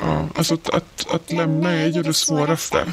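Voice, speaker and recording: Someone talks at a fairly slow pace against noticeable background noise. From Sweden. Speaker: former partner of a conspiracy theorist. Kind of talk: personal testimony interview.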